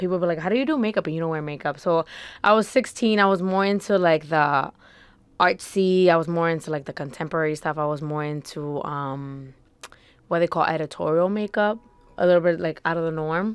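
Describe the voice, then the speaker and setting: A woman speaks at a fairly quick pace with a fairly low pitch. Her pitch variation is ordinary, in a dry sound with no echo. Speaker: podcast guest. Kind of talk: interview answer. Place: studio. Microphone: studio mic.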